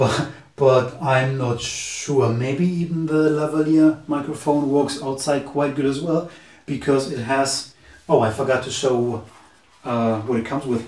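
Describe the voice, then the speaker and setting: A man with a German accent, fairly high pitch and fairly even intonation at a fairly slow pace, amid noticeable background noise and audible room echo. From Germany. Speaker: tech reviewer youtuber. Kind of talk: product review tutorial. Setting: indoors, camera at two meters distance. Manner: halting, with fillers.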